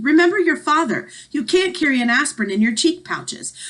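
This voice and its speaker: A put-on character voice comes out shaky at a fairly quick pace. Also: woman, high pitch for a woman. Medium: read story.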